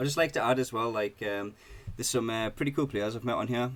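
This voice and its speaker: Very fast speech comes with ordinary pitch variation. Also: man. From Britain. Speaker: gaming YouTuber. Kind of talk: gameplay tutorial. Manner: casual, hesitant with fillers.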